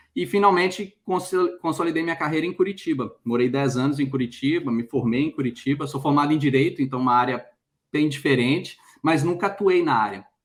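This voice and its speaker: This man talks at a fairly quick pace with a fairly high pitch. His pitch varies in an ordinary way. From Brazil, Minas Gerais (Belo Horizonte). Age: 40s. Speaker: career mentor. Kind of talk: interview. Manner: halting, many fillers.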